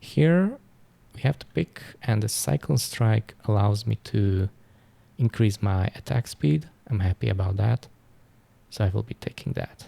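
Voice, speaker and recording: A man's fairly low, somewhat breathy voice with a dark, mellow tone, fairly slow with long, frequent pauses, in a dry, close sound with no echo. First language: not English. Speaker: gaming YouTuber. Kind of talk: gameplay commentary. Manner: halting, with restarts.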